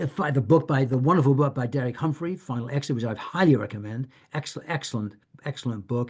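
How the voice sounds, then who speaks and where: A very fast, somewhat breathy male voice at medium pitch, with ordinary pitch variation. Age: 70s. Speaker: author and end-of-life activist. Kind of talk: Q&A talk. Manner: halting, many fillers and repetitions.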